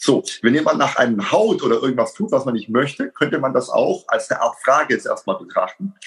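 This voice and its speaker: A man keeps a fairly quick pace with music playing behind him. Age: 50s. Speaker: self-defense instructor and coach. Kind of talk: casual interview.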